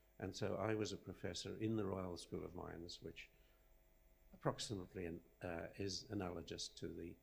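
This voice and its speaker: Somewhat breathy, a man talks in a very deep, low pitch at a moderate pace with fairly even intonation. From Zimbabwe, studied in South Africa. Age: 80s+. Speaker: rock engineering professor. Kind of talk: acceptance lecture. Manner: halting.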